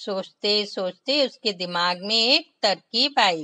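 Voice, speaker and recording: A woman talks in a bright, sharp tone. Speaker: storyteller for children. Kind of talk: children's read story. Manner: expressive, voice modulation.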